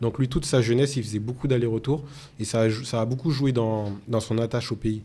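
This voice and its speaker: A dark, mellow, somewhat breathy tone at a fairly quick pace, with fairly even intonation, very even loudness and a very clean recording over a silent background. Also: man, medium pitch for a man. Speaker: podcast host. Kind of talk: interview.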